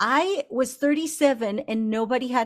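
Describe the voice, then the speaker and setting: A woman with an unremarkable speaking voice talks at a fairly slow pace with lively intonation. The recording is very clean, with a silent background. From Argentina, moved to Utah at eleven. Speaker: life coach. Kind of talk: interview.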